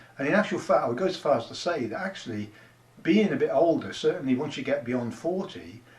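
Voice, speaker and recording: Very fast male speech, fairly high-pitched with lively intonation and audible room echo. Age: 60s. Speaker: online business promoter, army veteran. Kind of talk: casual talking-head pitch to camera. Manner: conversational, with many fillers.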